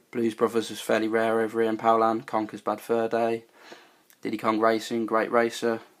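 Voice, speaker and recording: With a British accent, the speaker talks at a fairly quick pace in a monotone, flat way. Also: man, medium pitch for a man. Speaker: retro game collector YouTuber. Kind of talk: casual video tour. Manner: hesitant, many fillers.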